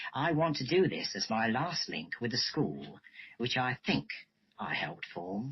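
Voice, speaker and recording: Vocal fry and very wide pitch swings in a man's voice. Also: medium pitch for a man, fairly slow pace. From southern England, Reigate, Surrey. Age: 60s. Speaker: retired parachute instructor. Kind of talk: radio interview.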